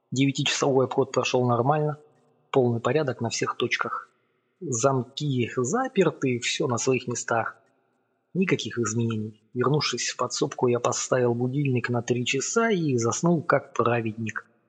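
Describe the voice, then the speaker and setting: A somewhat breathy man at medium pitch, with fairly even intonation and a moderate pace. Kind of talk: audiobook narration, first-person literary reading. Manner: measured, storytelling pace, building suspense.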